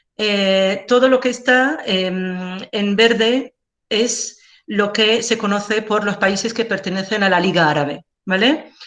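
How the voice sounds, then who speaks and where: A woman with an Algerian accent, medium in pitch, at a very slow pace with ordinary pitch variation. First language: Algerian Arabic (speaking Spanish). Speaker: linguist. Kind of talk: lecture. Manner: halting, frequent fillers.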